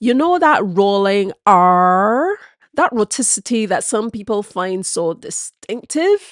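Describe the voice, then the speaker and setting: With a Barbadian accent, a woman speaks with lively intonation in a dry, close sound with no echo. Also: quiet background. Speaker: history presenter. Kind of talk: educational history talk to camera.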